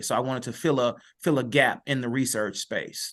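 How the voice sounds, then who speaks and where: A man at a medium pitch with an American accent, moderate pace, and an unremarkable speaking voice. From US Midwest, East St. Louis, Illinois. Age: 50s. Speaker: educator and author. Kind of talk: podcast interview.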